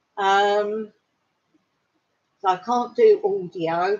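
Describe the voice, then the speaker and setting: A woman talks with fairly even intonation. She has an English accent. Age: 60s. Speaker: vlogger. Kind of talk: casual chat. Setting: livestream. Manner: halting.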